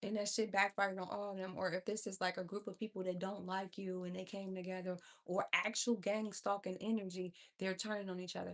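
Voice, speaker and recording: The speech moves at a fairly quick pace with a monotone, flat intonation. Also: woman, medium pitch for a woman. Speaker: livestream tarot reader. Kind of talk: livestream chat with viewers. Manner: fast.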